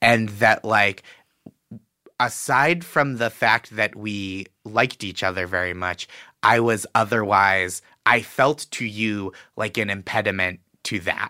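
Dry and close with no echo, a very clean recording with a silent background captures a man with an American accent speaking in a fairly low voice with a bright, sharp tone. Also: ordinary pitch variation, fairly slow pace. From Boston, US. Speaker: comedian. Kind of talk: casual chat.

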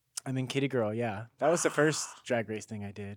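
At a moderate pace, a man talks in a normal speaking voice pitched at a medium level. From Carson, California, US. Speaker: dancer and singer. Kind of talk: casual chat.

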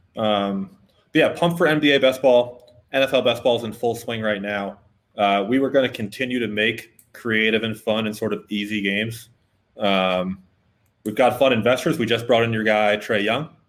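A man speaks with an American accent in an ordinary speaking voice. His medium pitch shows ordinary pitch variation at a moderate pace. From Boston. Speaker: sponsor representative filling in as co-host. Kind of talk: casual sports chat; sales pitch.

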